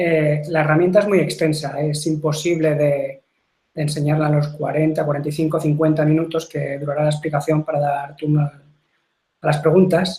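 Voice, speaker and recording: A man with a fairly high pitch speaks in a somewhat breathy, dark, mellow voice with monotone, flat intonation. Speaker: software company technical presenter. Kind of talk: webinar product presentation. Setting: online webinar broadcast. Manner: fast; hesitant, repeats words.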